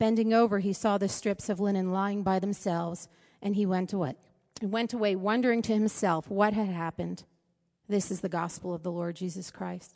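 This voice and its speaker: A woman talks fairly quickly in an ordinary speaking voice at a medium pitch. Her intonation is fairly even against a quiet background. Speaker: scripture reader. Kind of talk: reading aloud.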